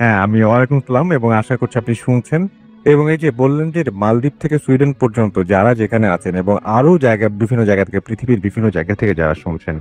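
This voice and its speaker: The intonation is lively, with a dry, close sound and no echo. Music plays in the background. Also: man, medium pitch for a man. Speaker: radio show host (horror FM). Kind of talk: radio horror show host conversation.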